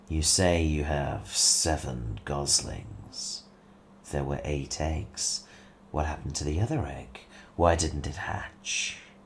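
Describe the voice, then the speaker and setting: A man's put-on character voice, very deep and low in pitch, at a fairly slow pace over clear background noise. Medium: read story. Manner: sly, surly.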